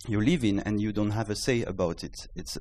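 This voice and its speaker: This man has a French accent and a fairly low pitch. He speaks at a fairly quick pace. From France. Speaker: startup founder. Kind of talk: startup pitch. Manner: halting.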